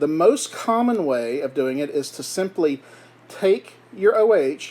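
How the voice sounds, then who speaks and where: Lively intonation from a man with a fairly high pitch, over noticeable background noise. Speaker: chemistry teacher. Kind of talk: lecture. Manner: occasional awkward pauses.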